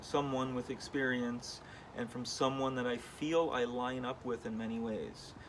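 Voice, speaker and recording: Using an ordinary speaking voice, a man talks at medium pitch and a moderate pace. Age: 40s. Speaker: wood sculptor and artist. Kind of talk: vlog monologue with reading aloud of own email. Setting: in his studio. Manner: casual, with many fillers.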